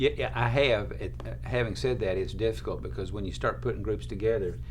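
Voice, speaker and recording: A man's very deep, low voice with vocal fry, very wide pitch swings and a fairly quick pace, plus audible room echo. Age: 60s. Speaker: family court judge. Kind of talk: casual chat. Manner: halting.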